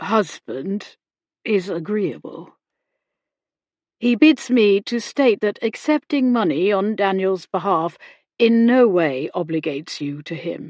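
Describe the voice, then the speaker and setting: In a put-on character voice, a woman at medium pitch sounds strained and swings very widely in pitch at a fairly slow pace, on a very clean recording with a silent background. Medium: read story. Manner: formal, officious, restrained.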